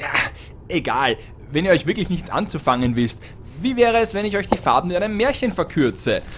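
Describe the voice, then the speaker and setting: A man's high, animated, playful voice at a fairly quick pace, with very wide pitch swings and long, frequent pauses. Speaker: storyteller and driver reading a fairy tale aloud to the crew. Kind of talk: scripted fairy-tale reading with comic voices and amateur acting. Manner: animated storyteller, playful and theatrical.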